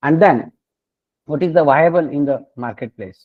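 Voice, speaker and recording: Fairly high in pitch, a man is speaking. He moves at a moderate pace. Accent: Indian. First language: Marathi. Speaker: solar energy researcher and professor. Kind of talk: lecture. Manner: halting.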